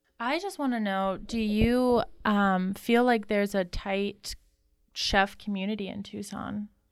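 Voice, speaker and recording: A woman uses a normal speaking voice at medium pitch, keeping her intonation fairly even. She talks at a fairly slow pace in a very clean recording with a silent background. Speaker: podcast host. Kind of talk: casual chat.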